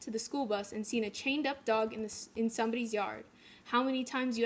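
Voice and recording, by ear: Someone reads aloud in a natural voice, keeping the intonation fairly level.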